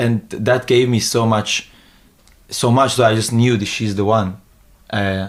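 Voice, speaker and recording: Using monotone, flat intonation, a man with an Israeli accent talks at a fairly slow pace with long, frequent pauses. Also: medium pitch for a man. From Israel, then Hong Kong from age 13. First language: Hebrew. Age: 20s. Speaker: new media entrepreneur and street interviewer. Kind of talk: podcast interview. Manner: halting, many fillers and restarts.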